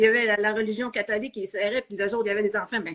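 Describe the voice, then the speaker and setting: A woman's fairly high voice in a Quebec accent. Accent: Québécois French. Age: 50s. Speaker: novelist, former math teacher. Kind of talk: interview. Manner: hesitant, with false starts.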